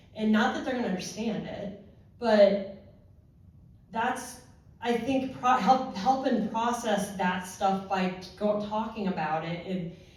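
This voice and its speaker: In an American accent, a woman speaks at a fairly slow pace and medium pitch with ordinary pitch variation, amid audible room echo and noticeable background noise. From Ohio. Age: 40s. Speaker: horse rider and former first responder. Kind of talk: panel discussion.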